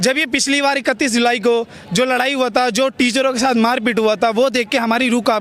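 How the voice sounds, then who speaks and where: A man at an extremely high pitch over music in the background. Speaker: student protester. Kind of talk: street interview. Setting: outdoors at a protest. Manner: animated.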